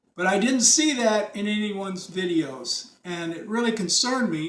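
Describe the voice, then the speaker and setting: A man speaks with lively intonation, and the room echo is audible. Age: 70s. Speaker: retired DIY car repairer. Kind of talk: tutorial. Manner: casual.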